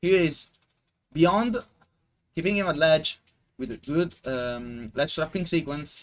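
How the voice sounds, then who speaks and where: A man's fairly high, lively voice at a very slow pace, with long, frequent pauses. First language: Italian. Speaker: esports commentator. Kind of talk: live commentary. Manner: halting.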